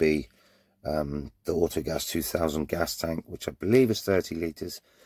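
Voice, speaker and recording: In a Cornish accent, a man with a very deep, low pitch talks at a moderate pace with ordinary pitch variation. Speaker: vanlifer showing his van conversion. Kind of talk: casual vlog talk. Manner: hesitant, repeats words.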